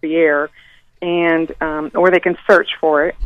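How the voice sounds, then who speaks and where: Recorded dry and close with no echo, a woman with an ordinary speaking voice talks at a moderate pace and a fairly low pitch. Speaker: local party organizer. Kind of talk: radio interview.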